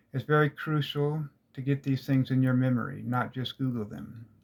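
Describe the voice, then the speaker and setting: A man speaks at a medium pitch and a fairly slow pace, his intonation monotone and flat. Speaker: esoteric teacher. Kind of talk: lecture. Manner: halting.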